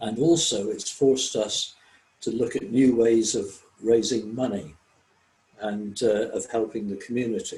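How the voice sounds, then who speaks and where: At a fairly slow pace, a man speaks at medium pitch with an English accent. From England. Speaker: service club member. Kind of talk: online group discussion. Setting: video call.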